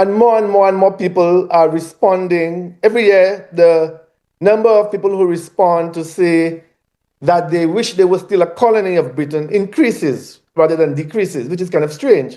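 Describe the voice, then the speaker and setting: A man speaks with a Caribbean accent at a moderate pace, his pitch high and his pitch variation ordinary. His tone is dark and mellow. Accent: non-Grenadian Caribbean. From Eastern Caribbean (St. Lucia). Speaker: academic panelist. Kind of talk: panel talk. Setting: video call into live panel. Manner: repetitive, halting.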